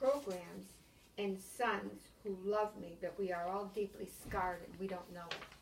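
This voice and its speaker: Vocal fry runs through a woman's medium-pitched voice. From US Northeast (Connecticut, from Maine). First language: French. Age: 80s+. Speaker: aspiring author. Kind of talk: reading aloud. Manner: animated.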